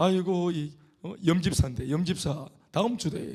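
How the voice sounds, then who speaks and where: This man speaks in a high pitch with a dark, mellow tone. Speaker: pastor. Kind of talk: sermon. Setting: church. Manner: fast.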